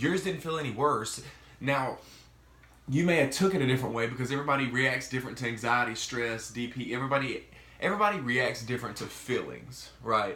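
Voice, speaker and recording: A man speaks fairly quickly with a Mississippi accent. Audible room echo and noticeable background noise are present. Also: medium pitch for a man, ordinary pitch variation. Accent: Southern US (Mississippi). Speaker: vlogger sharing mental health experience. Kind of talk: casual vlog monologue. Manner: casual, halting with fillers.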